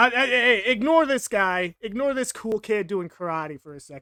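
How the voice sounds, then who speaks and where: A man with an American accent speaks at a moderate pace in a raised, projected voice, his high pitch, lively intonation and bright, sharp tone carrying big swings in loudness and an animated tone, all in a dry, close sound with no echo. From United States. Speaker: art youtuber. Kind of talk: tutorial. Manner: casual, rambling self-talk.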